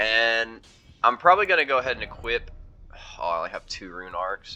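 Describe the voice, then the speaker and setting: A man speaks fairly quickly with music in the background. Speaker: gaming streamer. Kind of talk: gameplay commentary. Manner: casual, with fillers.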